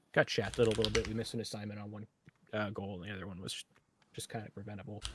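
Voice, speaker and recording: Speaking at a very fast pace, a man uses a fairly low, somewhat breathy voice. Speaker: amateur esports hockey player. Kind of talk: post-game interview.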